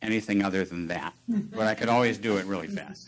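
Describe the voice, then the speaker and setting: At a moderate pace, a man speaks in a fairly low voice. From Chicago, US Midwest. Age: 60s. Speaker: retired tech worker with early onset Alzheimer's. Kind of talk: talk to an audience about personal experience. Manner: halting, many fillers and restarts.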